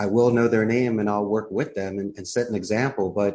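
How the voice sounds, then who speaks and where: Talking at a fairly quick pace, a man with a Philadelphia accent has a fairly low pitch. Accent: Philadelphia American. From US Northeast, Philadelphia. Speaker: call center CEO. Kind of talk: interview.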